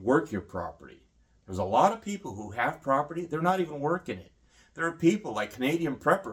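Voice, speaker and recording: In a very clean recording with a silent background, a man talks very fast with an American accent. His voice shows vocal fry, very wide pitch swings and big swings in loudness. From Vietnam and Singapore, then US from high school. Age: 50s. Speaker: homesteader and former combat photographer. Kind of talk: casual monologue vlog.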